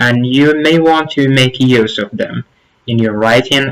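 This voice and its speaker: This man has a medium-pitched voice with an Arabic accent. He talks at a fairly slow pace with ordinary pitch variation. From Morocco, Zagora. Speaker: youtuber, former exchange teaching assistant. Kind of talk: tutorial.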